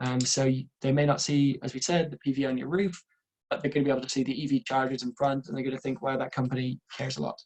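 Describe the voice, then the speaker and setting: A man rattles along at a very fast pace in a medium pitch. His intonation is monotone and flat. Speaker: renewable energy engineer, webinar presenter. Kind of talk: webinar presentation. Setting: online webinar.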